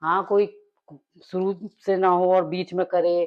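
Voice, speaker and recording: A woman's fairly low-pitched voice. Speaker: daily-life vlogger. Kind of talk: casual vlog chat while cooking.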